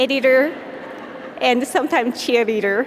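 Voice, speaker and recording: Against noticeable background noise, a woman with a Japanese accent speaks at a high pitch and a fairly slow pace. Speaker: palliative care nurse. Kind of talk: award acceptance speech.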